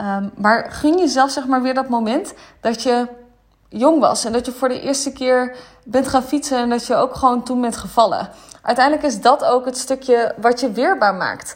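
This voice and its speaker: With a high pitch and ordinary pitch variation, a woman talks at a moderate pace. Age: 20s. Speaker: spiritual business mentor. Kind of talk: solo podcast monologue. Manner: hesitant, many filler words.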